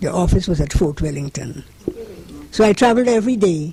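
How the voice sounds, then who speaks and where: A woman at a moderate pace, her intonation lively, with noticeable background noise. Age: 80s+. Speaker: retired home economics teacher. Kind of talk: interview answer.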